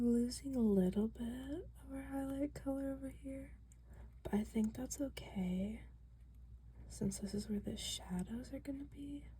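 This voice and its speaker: Soft-spoken, relaxed tone at a fairly slow pace. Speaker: ASMR creator. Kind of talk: ASMR soft-spoken talk while coloring.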